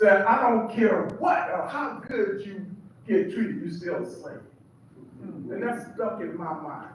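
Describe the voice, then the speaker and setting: A man speaks very slowly in a high voice with lively intonation. Noticeable background noise and audible room echo fill the recording. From Seattle, US. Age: 70s. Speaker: preacher. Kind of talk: testimony.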